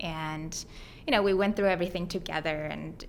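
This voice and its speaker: The speaker has a Mongolian accent and a moderate pace. Vocal fry runs through a monotone, flat intonation. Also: woman. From Mongolia, then Hawaii from age ten. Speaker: grad student and startup co-founder. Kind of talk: podcast interview. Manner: conversational with many fillers.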